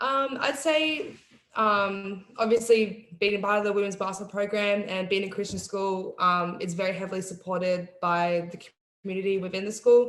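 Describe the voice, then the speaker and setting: This woman talks at a moderate pace, with a medium pitch and ordinary pitch variation. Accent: Australian. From Tasmania, Australia. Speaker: college basketball player. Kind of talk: interview. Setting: video call.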